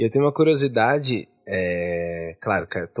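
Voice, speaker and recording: On a very clean recording with a silent background and a dry, close sound with no echo, a man talks fairly slowly with ordinary pitch variation. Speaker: podcast co-host. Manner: animated, joking.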